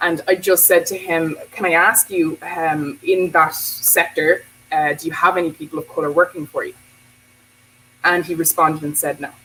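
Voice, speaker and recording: A woman's fairly low voice at a moderate pace, with fairly even intonation and big swings in loudness. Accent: Irish. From Bray, County Wicklow, Ireland. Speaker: teacher and anti-racism activist. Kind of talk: casual talk to camera.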